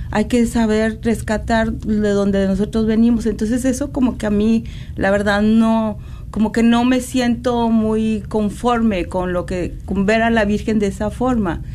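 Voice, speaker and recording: Amid noticeable background noise and audible room echo, a woman speaks fairly slowly in a fairly high pitch, with very even loudness and a monotone, flat intonation. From Mexico, San Luis Potosí. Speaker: maker of religious images. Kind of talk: radio interview. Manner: halting.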